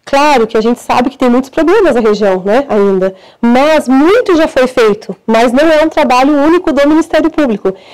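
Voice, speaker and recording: Against a quiet background, a woman talks at a moderate pace with hardly any pauses. Her high voice carries lively intonation. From northern Paraná, Brazil. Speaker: prosecutor. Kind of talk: interview. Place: studio. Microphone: lapel.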